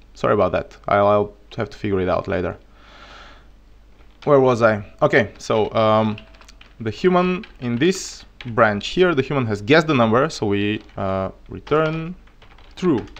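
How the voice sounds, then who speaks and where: A man's voice with a Bulgarian accent, very wide pitch swings, and long, frequent pauses. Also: medium pitch for a man, moderate pace. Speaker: programming streamer. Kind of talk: live coding tutorial. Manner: halting.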